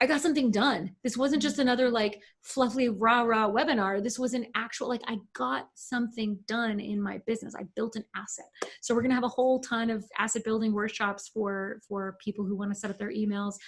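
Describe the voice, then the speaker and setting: A woman's fairly high, somewhat breathy voice at a fairly quick pace, with ordinary pitch variation. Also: hardly any pauses. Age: 40s. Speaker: email marketing agency owner. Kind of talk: podcast interview. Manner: animated.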